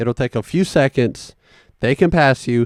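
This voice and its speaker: A Southern US accent at a moderate pace, lively in intonation, the sound dry and close with no echo. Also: man. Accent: Southern country accent, growing stronger. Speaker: podcast host. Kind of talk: casual monologue. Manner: animated.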